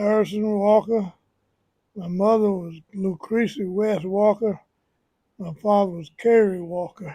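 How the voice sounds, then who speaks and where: Speaking in a Southern US accent at a fairly slow pace, the voice breaks into long, frequent pauses. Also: man, high pitch for a man, fairly even intonation, big swings in loudness. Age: 80s+. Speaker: community elder. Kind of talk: casual interview.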